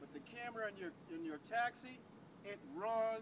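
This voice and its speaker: Loud and high-pitched, a man speaks at a fairly slow pace with ordinary pitch variation over noticeable background noise. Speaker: homeless man. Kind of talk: ranting. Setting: outdoors by a taxi, on a bike.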